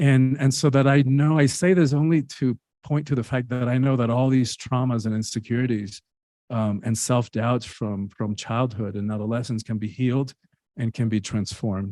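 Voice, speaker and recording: A man with a dark, mellow tone speaks at a moderate pace with ordinary pitch variation on a very clean recording with a silent background. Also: medium pitch for a man. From Cuba. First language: Spanish. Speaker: author and speaker. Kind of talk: interview.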